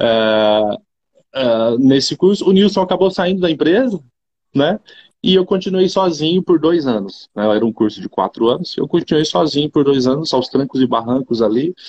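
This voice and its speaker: Recorded with a dry, close sound and no echo, a man with a fairly high voice talks at a moderate pace with very wide pitch swings. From Brazil, Rondônia. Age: 30s. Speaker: agribusiness executive. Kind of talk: interview.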